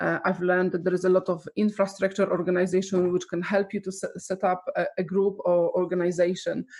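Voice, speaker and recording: At a fairly quick pace with hardly any pauses, a woman speaks in a medium pitch with a Polish accent and monotone, flat intonation. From Poland. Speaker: arts nonprofit director. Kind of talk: webinar presentation. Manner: halting, many fillers.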